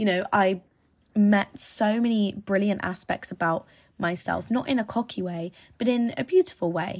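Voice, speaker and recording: On a very clean recording with a silent background, a woman with an English accent speaks at a moderate pace and medium pitch, somewhat breathy and animated, with ordinary pitch variation. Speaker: podcast host. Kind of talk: casual monologue. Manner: rambling, animated.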